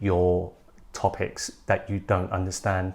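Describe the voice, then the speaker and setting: The speaker is a man with a British accent. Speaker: YouTuber, mature student. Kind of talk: tutorial advice talk.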